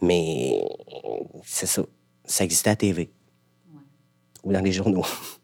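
With a very deep, low pitch and vocal fry, a man speaks at a very slow pace, using ordinary pitch variation and long, frequent pauses. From rural Quebec. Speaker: actor. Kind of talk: casual chat.

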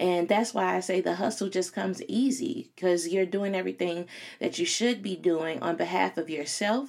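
On a very clean recording with a silent background, a voice with an American accent and vocal fry speaks at a moderate pace with ordinary pitch variation. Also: woman, medium pitch for a woman. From Chicago. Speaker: podcast host and career coach. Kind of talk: solo podcast monologue. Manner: casual, filler-heavy.

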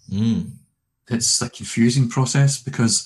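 A man with a Scottish accent, somewhat breathy, medium in pitch, at a fairly slow pace. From Scotland, working-class Glasgow. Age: 50s. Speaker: minister and conference speaker. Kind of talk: casual interview.

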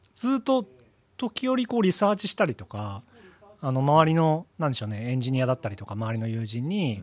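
A man speaks at a medium pitch and a fairly quick pace, his pitch swinging very widely, in a dry, close sound with no echo. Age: 40s. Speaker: audio product engineer. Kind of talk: casual chat.

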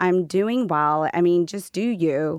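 A woman with a plain, everyday voice speaks at a fairly low pitch with lively intonation, in a very clean recording with a silent background and a dry, close sound with no echo. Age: 40s. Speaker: skincare company founder. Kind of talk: interview.

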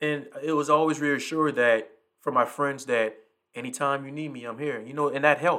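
Talking at a fairly quick pace, a man with a fairly high pitch and a bright, sharp tone keeps his intonation fairly even while his loudness swings widely. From US South, South Carolina low country. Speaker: podcast host, single father. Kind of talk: casual monologue.

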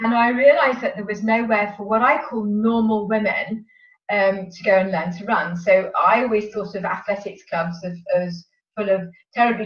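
Speaking at a fairly quick pace in a southern English accent, a woman with a medium pitch sounds somewhat breathy, with big swings in loudness. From southern England, Sevenoaks, Kent. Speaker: running coach. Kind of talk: interview.

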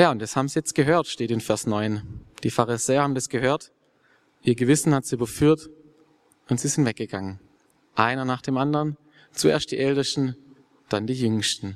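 At a moderate pace with long, frequent pauses, the voice shows ordinary pitch variation in a dry, close sound with no echo. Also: man, medium pitch for a man. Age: 20s. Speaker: theology student. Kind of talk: interview; sermon.

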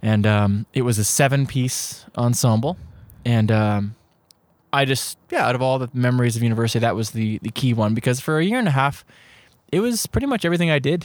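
An unremarkable speaking voice: a man with a Canadian accent, medium in pitch, with ordinary pitch variation. He talks at a fairly quick pace on a very clean recording with a silent background. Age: 30s. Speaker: podcast co-host. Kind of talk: casual chat. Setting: home recording at co-host's place.

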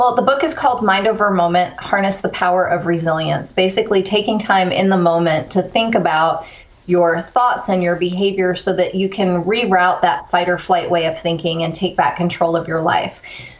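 A woman with an American accent, very even loudness and hardly any pauses, against noticeable background noise. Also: medium pitch for a woman, ordinary pitch variation, moderate pace. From Texas (Corpus Christi), early childhood on US East Coast. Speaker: author and resilience speaker. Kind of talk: interview conversation.

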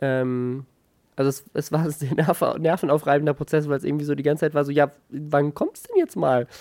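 This man speaks in a flat monotone, his fairly high-pitched voice dark and mellow, with a dry, close sound and no echo. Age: 20s. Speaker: YouTuber and podcaster, new father. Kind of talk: casual chat. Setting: at home.

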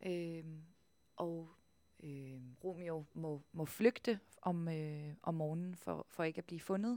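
A woman with a fairly low pitch and a dark, mellow tone speaks at a very slow pace, using ordinary pitch variation and long, frequent pauses. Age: 20s. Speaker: stage actor. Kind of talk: interview. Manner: halting.

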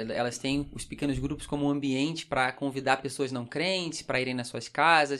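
Flat, monotone intonation at a fairly quick pace, in a very clean recording with a silent background. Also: man. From Brazil, Rio de Janeiro. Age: 20s. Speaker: pastor. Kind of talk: casual chat.

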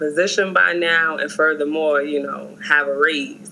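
Noticeable background noise sits under a woman speaking with an American accent. Her very deep, low pitch carries ordinary pitch variation at a moderate pace. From New York, Harlem. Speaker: school counselor. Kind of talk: casual chat.

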